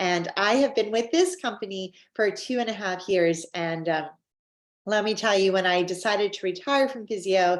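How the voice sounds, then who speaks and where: At a moderate pace, a woman with a Canadian accent talks at a medium pitch with ordinary pitch variation. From Canada. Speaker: network marketing presenter. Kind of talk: sales presentation. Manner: animated.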